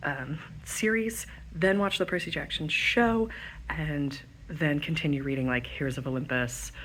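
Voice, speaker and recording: With audible room echo, a woman speaks at a moderate pace in a very deep, low pitch and lively intonation. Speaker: book vlogger. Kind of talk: casual vlog. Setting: bookstore. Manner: quiet.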